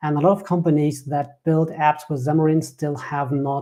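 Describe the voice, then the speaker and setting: With a slight German accent, a man speaks in a dark, mellow tone at a fairly high pitch with fairly even intonation. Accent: German, subtle. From Germany. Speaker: software developer and business founder. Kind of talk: interview podcast.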